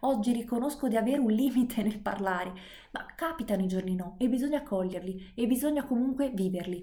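A woman's dark, mellow, somewhat breathy voice at a fairly quick pace, with ordinary pitch variation. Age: 20s. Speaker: podcaster and private tutor. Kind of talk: monologue lesson.

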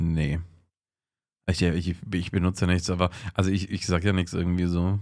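Over a very clean recording with a silent background, a man's very deep, low voice stays monotone and flat, very even in loudness, with long, frequent pauses. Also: moderate pace. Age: 30s. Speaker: podcast co-host. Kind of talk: casual chat.

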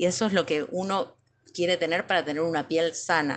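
A normal speaking voice moves at a moderate pace with fairly even intonation over a quiet background. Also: woman. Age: 40s. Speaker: physical education teacher. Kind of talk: testimony.

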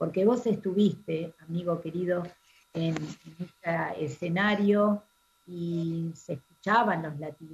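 Somewhat breathy and very slow, this voice keeps fairly even intonation while its loudness swings widely. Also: woman, fairly low pitch for a woman. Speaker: radio host. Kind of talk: radio interview.

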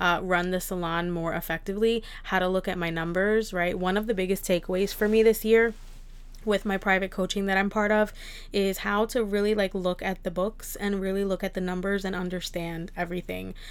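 Against a silent background in a very clean recording, a woman speaks with an American accent. Her medium pitch stays flat and monotone at a moderate pace. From New Jersey. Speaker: beauty salon owner and podcaster. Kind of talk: solo podcast monologue.

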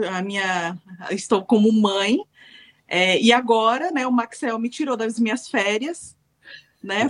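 A woman has an ordinary speaking voice, fairly high in pitch with ordinary variation. She speaks at a fairly slow pace, and the sound is dry and close with no echo. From Brazil. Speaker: web TV team member. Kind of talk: casual chat.

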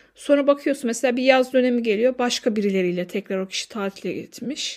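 On a very clean recording with a silent background, a woman speaks at a fairly quick pace in a high, animated voice with ordinary pitch variation. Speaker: podcast host. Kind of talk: casual monologue.

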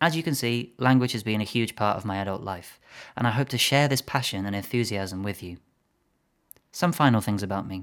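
A man's fairly low, ordinary speaking voice, fairly quick in pace with ordinary pitch variation, in a very clean recording with a silent background. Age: 20s. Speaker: language coach. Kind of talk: solo podcast monologue.

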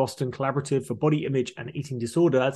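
A somewhat breathy man talks very fast with a British accent. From UK. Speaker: podcast host. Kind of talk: interview. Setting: video call. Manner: animated.

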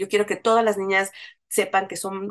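A woman talks at a moderate pace in a medium-pitched voice. It is an ordinary speaking voice. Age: 40s. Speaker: feminist activist and communicator. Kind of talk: interview conversation.

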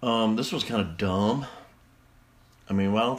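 In a Southern US accent, a man talks with a fairly low pitch. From Mississippi. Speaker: podcast host. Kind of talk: casual solo podcast monologue.

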